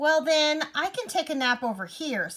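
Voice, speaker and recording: A woman's squeaky, high-pitched put-on character voice at a moderate pace. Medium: read story. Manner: mild, polite.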